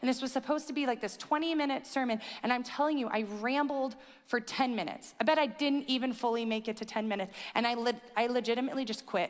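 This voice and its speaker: A woman talks at a very fast pace in an animated, high-pitched voice. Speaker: pastor. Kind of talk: sermon.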